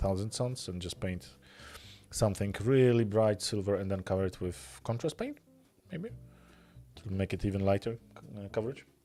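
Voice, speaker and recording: In a Polish accent, this man has a dark, mellow tone and a fairly low pitch. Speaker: miniature painting streamer. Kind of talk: live stream casual chat while painting. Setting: live stream. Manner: fast.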